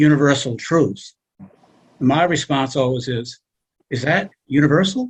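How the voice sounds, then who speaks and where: Somewhat breathy, the voice moves at a fairly slow pace with ordinary pitch variation. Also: man. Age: 70s. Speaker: class participant. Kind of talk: class discussion.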